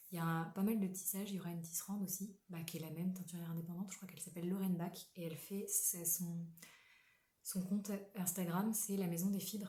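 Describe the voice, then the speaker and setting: A woman speaks very fast at a medium pitch, with monotone, flat intonation. Her voice is somewhat breathy with a dark, mellow tone, and the room echo is audible. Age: 20s. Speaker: knitting podcaster. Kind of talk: casual chat. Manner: halting.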